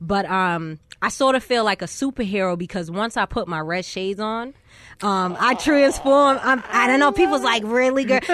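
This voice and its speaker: Speaking at a moderate pace, a woman with a normal speaking voice sounds fairly high in pitch with lively intonation. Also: quiet background. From Boston, US. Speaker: rapper. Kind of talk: interview. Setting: studio.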